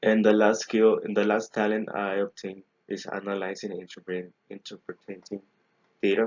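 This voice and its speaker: Speaking with a Spanish accent, a man uses a fairly low pitch and a flat, monotone intonation at a moderate pace. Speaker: engineering graduate student. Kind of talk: recorded class presentation. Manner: halting, many self-corrections.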